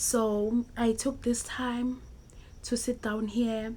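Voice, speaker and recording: At a very slow pace, a woman speaks in a monotone, flat intonation. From South Africa. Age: 20s. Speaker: YouTuber. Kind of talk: personal story time vlog.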